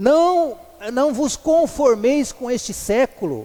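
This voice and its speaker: A man with an extremely high-pitched voice. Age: 60s. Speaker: lay preacher. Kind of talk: sermon. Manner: halting, repeats words.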